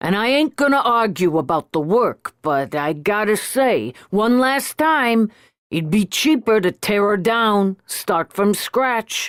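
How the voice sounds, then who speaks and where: A woman uses a put-on character voice at medium pitch and a fairly slow pace. Her loudness stays very even, and the recording is very clean with a silent background. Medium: read story. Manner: blunt, working-class.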